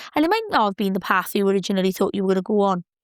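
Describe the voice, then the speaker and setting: The sound is dry and close, without any echo. A woman talks in a British accent. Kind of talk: casual podcast talk. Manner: upbeat, chatty.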